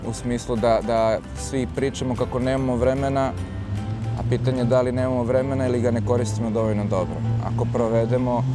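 This man talks fairly quickly. Music is clearly audible behind him. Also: dry sound with no echo. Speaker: fitness coach interviewee. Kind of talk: interview answer. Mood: relaxed, smiling. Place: garden. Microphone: lapel.

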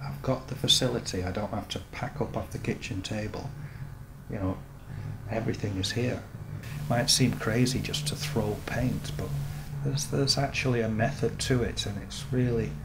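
A man speaks at a moderate pace while loud noise runs in the background. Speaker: painter. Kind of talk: interview answer. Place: workshop.

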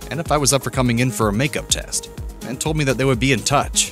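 A man talking at a very fast pace over background music. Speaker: voiceover narrator. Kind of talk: entertainment news video narration.

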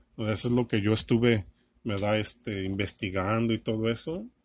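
The man talks at a fairly slow pace with fairly even intonation and a somewhat breathy quality, in a dry sound with no echo. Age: 40s. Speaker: electronics repair video creator. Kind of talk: tutorial. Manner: halting, many fillers. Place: workshop. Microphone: camera far.

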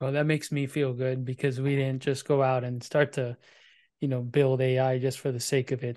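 A man speaks in a medium pitch with a dark, mellow tone. His intonation is monotone and flat against a quiet background. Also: moderate pace. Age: 40s. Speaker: podcast host. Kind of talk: casual interview chat. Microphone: earbuds.

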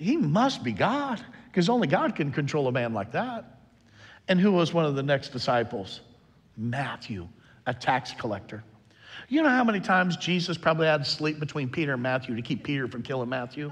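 A man's fairly high, somewhat breathy voice at a fairly quick pace, full of very wide pitch swings. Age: 50s. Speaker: pastor. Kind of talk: sermon. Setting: church. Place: church.

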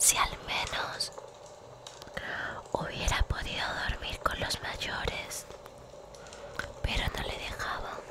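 Soft-spoken and whispering, a woman talks at a very slow pace with long, frequent pauses against loud background noise. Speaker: ASMR storyteller. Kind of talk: soft storybook reading. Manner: soft whispered bedtime reading. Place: home room. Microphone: studio mic.

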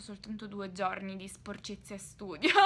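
A woman talks at a fairly slow pace. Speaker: vlogger. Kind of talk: casual vlog. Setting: bedroom. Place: home room. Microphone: phone near.

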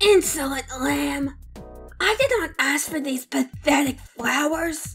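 A put-on character voice, high in pitch and at a fairly slow pace, over faint music in the background. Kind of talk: comic overacting. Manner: haughty, indignant.

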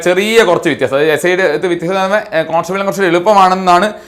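A man with a high pitch. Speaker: exam coaching teacher. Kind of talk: online class tutorial. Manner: conversational, repetitive.

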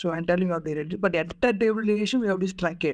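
Over a quiet background, a man with an Indian accent speaks at a high pitch with ordinary pitch variation. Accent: Indian English (Telugu). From India, Andhra Pradesh (Krishna District); Andhra Pradesh, India. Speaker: job candidate; candidate. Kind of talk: mock job interview. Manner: halting, many fillers. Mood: nervous, searching for words. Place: home room. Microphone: video call.

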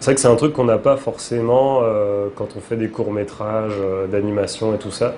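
A man with a fairly low pitch talks at a moderate pace, with hardly any pauses and fairly even intonation. Noticeable background noise is present. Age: 30s. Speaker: comic book author. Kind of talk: interview.

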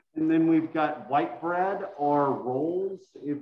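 A man speaks with ordinary pitch variation. Audible room echo surrounds his voice. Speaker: culinary instructor. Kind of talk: tutorial. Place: kitchen. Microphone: video call.

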